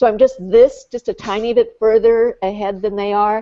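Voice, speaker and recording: With a dark, mellow tone, a woman speaks at a moderate pace in a dry, close sound with no echo. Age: 70s. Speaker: blogger. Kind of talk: casual chat.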